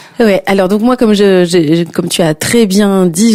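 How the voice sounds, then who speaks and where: Noticeable background noise sits behind the recording. A woman speaks fairly slowly with fairly even intonation. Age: 50s. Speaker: singer and performing artist. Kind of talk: interview. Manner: halting, many repetitions and fillers.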